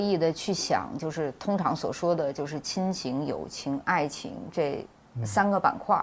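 Her pitch swings very widely as a woman speaks at a fairly slow pace. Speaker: film director and screenwriter. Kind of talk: panel discussion about own film. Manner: hesitant, repeats words while thinking.

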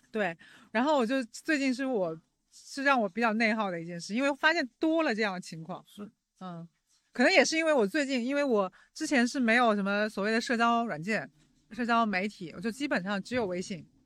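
In a very clean recording with a silent background, a woman with a slight Jiangsu-Zhejiang-Shanghai accent speaks at a fairly high pitch and fairly quick pace with lively intonation. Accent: little Jiangsu-Zhejiang-Shanghai. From Jiangsu (Nanjing). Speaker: podcast host. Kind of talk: casual chat. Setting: outdoors by the roadside.

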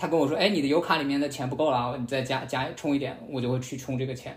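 Somewhat breathy and fairly high-pitched, a man talks at a very fast pace amid audible room echo. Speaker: podcast host, former media worker, student. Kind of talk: casual chat.

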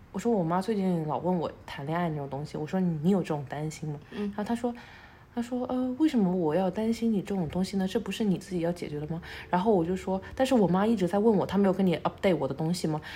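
Speaking very fast, a woman uses lively intonation in a medium-pitched, somewhat breathy voice with a dark, mellow tone. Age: 20s. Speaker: podcast co-host. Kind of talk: casual chat.

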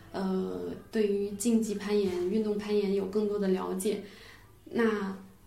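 A woman's medium-pitched voice at a fairly slow pace, with audible room echo. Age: 20s. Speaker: amateur sport climber. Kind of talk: casual chat.

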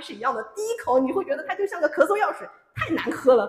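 The speaker talks at a very fast pace with very wide pitch swings. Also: woman. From Shanghai. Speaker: history editor. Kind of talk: public talk.

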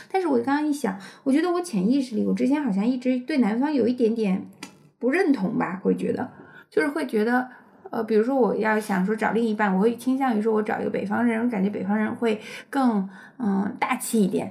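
A woman talks fairly quickly in a dark, mellow tone with a slight Hunan accent. Her pitch is fairly high, with ordinary variation. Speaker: podcast co-host, parent. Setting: home, child asleep nearby.

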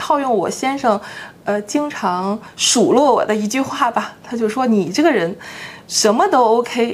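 A woman with a normal speaking voice uses lively intonation and talks fairly slowly. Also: fairly high pitch for a woman. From Northeast China, Harbin. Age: 30s. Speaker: blogger and former full-time housewife. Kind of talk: casual interview chat.

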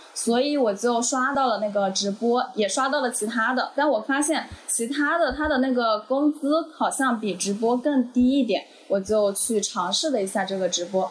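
Over noticeable background noise, a woman speaks at a high pitch with very even loudness and hardly any pauses. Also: ordinary pitch variation, moderate pace. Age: 20s. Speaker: former live streamer. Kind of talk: casual chat.

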